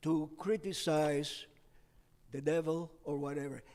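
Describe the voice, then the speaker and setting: In a very clean recording with a silent background, a man speaks very slowly in a high-pitched voice with a dark, mellow tone. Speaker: congregant. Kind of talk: class discussion. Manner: authoritative.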